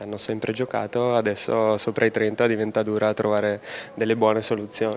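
Pitched in the medium range, a man's voice moves along at a fairly quick pace. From Brescia, northern Italy. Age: 30s. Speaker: professional footballer. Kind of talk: interview.

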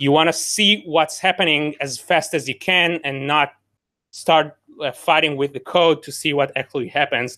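A man talks at a moderate pace. His voice is fairly high-pitched with a bright, sharp tone.

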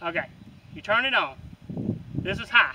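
Noticeable background noise runs under this recording. A man speaks at a fairly quick pace. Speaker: product reviewer. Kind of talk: casual product review. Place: open country.

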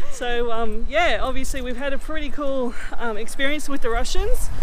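A woman at a fairly quick pace, loud background noise, and a dry sound with no echo. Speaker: vlogger. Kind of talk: casual vlog chat. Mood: cheerful, laughing. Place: street. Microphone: phone near.

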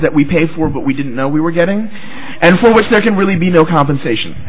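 A man with a high-pitched voice speaks with lively intonation, over noticeable background noise and with audible echo in the room. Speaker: psychology professor. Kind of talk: academic talk. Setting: symposium with live audience. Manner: storytelling.

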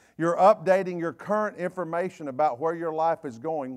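A man with a Southern US accent speaks in an animated tone over a quiet background. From US South. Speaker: pastor. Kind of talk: fiery, conversational Wednesday-night sermon scolding gossip. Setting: church. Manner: animated call-and-response preaching, repeating phrases for emphasis; blunt, confrontational, folksy with frequent self-corrections and stammered repeats. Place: church. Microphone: lapel.

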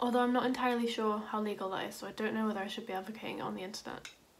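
In a Yorkshire accent, a woman speaks at a very fast pace and a fairly high pitch, with light background noise. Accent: British, Yorkshire. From Yorkshire, England. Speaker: law student. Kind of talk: casual talk to camera. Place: home room. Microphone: phone near.

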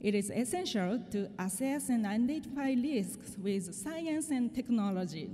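A woman talks in a high voice with lively intonation. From Japan. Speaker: disaster risk researcher. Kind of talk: conference presentation. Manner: formal. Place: hall. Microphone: podium.

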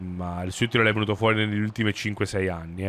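A man's fairly low voice with a bright, sharp tone at a fairly quick pace. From South Tyrol, Italy; Italy. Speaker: gaming streamer. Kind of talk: live gameplay commentary. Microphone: studio mic.

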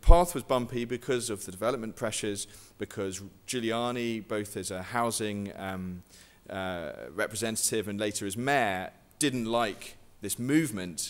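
A man with a southern English accent, fairly low in pitch, at a moderate pace, with ordinary pitch variation and big swings in loudness. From southwest England. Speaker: guerrilla gardening activist and author. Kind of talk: lecture. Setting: stage with audience. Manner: halting.

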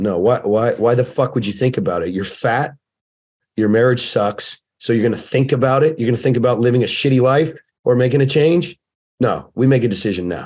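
An animated man with an American accent, medium pitch, ordinary pitch variation and a fairly quick pace. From US West Coast, Oceanside, California; California. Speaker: fitness and fatherhood coach, former firefighter; fatherhood coach. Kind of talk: casual chat. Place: home room. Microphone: webcam.

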